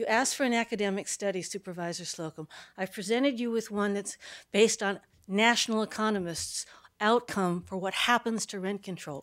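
At a moderate pace, a woman with an ordinary speaking voice and medium pitch speaks with ordinary pitch variation on a very clean recording with a silent background. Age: 60s. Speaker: retired landlord, public commenter. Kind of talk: public comment at meeting. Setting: county board meeting.

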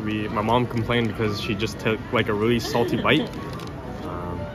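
Clear background music accompanies a man as he speaks. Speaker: vlogger. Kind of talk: casual vlog chat. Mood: mildly disappointed, joking. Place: market. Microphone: phone near.

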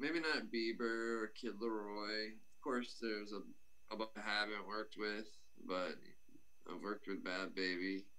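A man with an American accent talks at a fairly slow pace in a fairly low voice, his tone bright and sharp and his intonation fairly even. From Florida Panhandle. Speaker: rapper and producer; guest. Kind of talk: casual interview. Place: home room. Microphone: video call.

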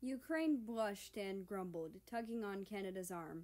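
The voice reads in an unforced way, and its pitch moves about an ordinary amount.

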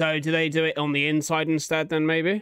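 The tone is clear, smooth and fairly bright. Delivery is fairly quick, with monotone, flat intonation. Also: man, fairly high pitch for a man.

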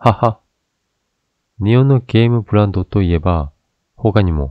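Speaking at a fairly slow pace, a man with a Korean accent uses ordinary pitch variation. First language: Korean (speaking Japanese). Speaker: YouTube political commentator. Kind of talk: opinion commentary monologue.

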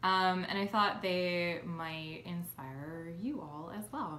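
Ordinary pitch variation, light background noise and audible room echo. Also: woman. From Philadelphia, US. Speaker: YouTuber and game designer; YouTuber. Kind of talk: casual vlog. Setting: at home in new place. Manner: hesitant, many filler ums. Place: home room. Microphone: phone near.

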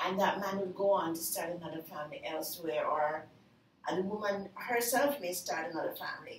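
With audible room echo around her, a woman speaks at a fairly low pitch with ordinary pitch variation. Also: fairly quick pace.

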